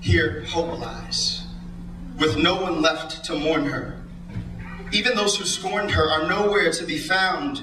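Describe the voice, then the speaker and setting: A man with an American accent at a very slow pace, with long, frequent pauses and noticeable background noise. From United States, California. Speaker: spoken word poet. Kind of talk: spoken word poetry performance. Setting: live stage, audience.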